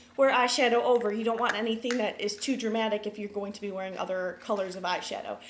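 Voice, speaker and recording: A woman's voice over noticeable background noise. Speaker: beauty vlogger. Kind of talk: tutorial. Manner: fast; many filler ums.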